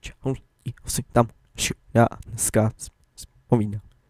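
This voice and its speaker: Mumbling runs through this put-on character voice. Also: man, medium pitch for a man. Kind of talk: casual youtuber-style, greeting viewers.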